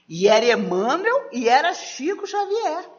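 A woman's extremely high-pitched voice with audible room echo. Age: 60s. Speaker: spiritist lecturer. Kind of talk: lecture.

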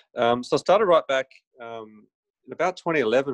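Heard dry and close with no echo, a man at medium pitch swings his pitch very widely. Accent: Australian. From Griffith, New South Wales, Australia. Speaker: chiropractor and photographer. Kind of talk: casual interview. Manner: hesitant, many fillers.

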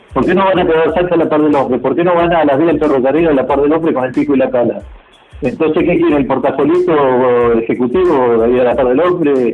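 A man with a fairly high voice talks very fast at a very even volume, with ordinary pitch movement, audible room echo and noticeable background noise. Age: 60s. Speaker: transport worker, truck and bus driver. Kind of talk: interview, casual chat.

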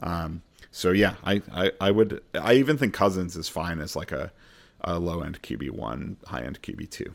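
A man with a very deep, low pitch and vocal fry swings widely in both pitch and loudness on a very clean recording with a silent background. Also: moderate pace. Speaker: fantasy football host. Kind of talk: casual podcast banter and game previews. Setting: studio podcast.

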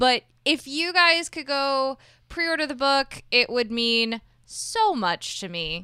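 In a very clean recording with a silent background, a woman with an American accent uses a raised, projected voice with a bright, sharp tone, high pitch and very wide pitch swings at a very slow pace. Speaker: podcast co-host. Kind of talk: casual chat.

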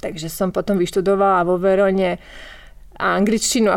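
A woman with a medium pitch talks at a moderate pace. The recording is very clean, with a silent background. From Slovakia. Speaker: novelist. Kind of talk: interview. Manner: halting.

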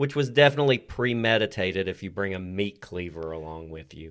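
A man speaks with a Southern US accent. His pitch is fairly low. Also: very clean recording, silent background. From Tennessee. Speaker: podcast co-host. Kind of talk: casual chat.

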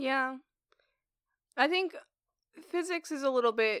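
A woman talks at a fairly quick pace with a bright, sharp tone. The recording is very clean, with a silent background. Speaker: podcast host, physics student. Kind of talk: casual chat. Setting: studio. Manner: talkative.

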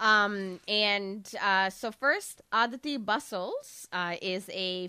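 With lively intonation and a bright, sharp tone, a woman speaks at a medium pitch on a very clean recording with a silent background. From Toronto, Canada. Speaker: podcast host. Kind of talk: news reading; casual chat.

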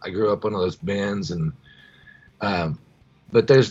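A man with an American accent, at a moderate pace. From US Midwest, Missouri Ozarks. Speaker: rock singer and guitarist. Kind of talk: casual interview chat.

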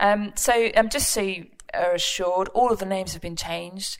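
A woman's medium-pitched voice at a moderate pace with ordinary pitch variation

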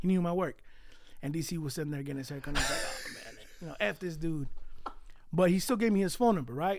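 Over noticeable background noise, a man with a high pitch talks at a very fast pace with lively intonation and long, frequent pauses. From California, east San Jose (Mexican-born). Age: 30s. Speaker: photographer. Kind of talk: casual chat.

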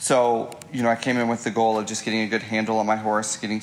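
A man with a fairly low pitch and an American accent, flat and monotone, over noticeable background noise. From Illinois side of the St. Louis area. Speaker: mustang trainer. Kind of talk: casual chat.

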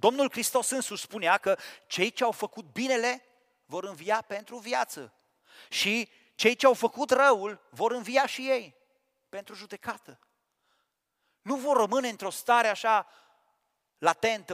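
Dry, close sound with no echo, a very clean recording over a silent background, long and frequent pauses, ordinary pitch variation, a fairly slow pace and big swings in loudness. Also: man. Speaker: preacher. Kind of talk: sermon.

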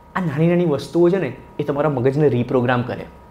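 Animated in tone, this man speaks with lively intonation. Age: 30s. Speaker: podcast host. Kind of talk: motivational talk.

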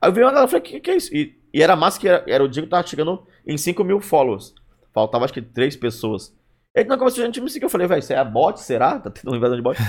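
A man with a high voice races along at a very fast pace, his pitch swinging very widely. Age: 30s. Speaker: streamer and stand-up comedian. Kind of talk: casual chat.

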